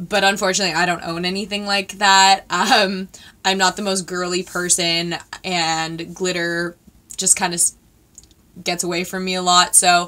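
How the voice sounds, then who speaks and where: A woman's bright, sharp tone, monotone and flat in intonation, at a moderate pace. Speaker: beauty vlogger. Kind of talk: casual vlog chat. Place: home room.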